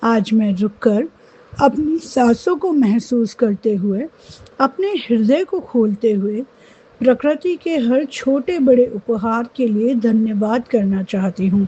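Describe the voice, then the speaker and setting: Her voice is a normal speaking voice, fairly high-pitched, as the woman talks with lively intonation. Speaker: meditation guide. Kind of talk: guided gratitude meditation.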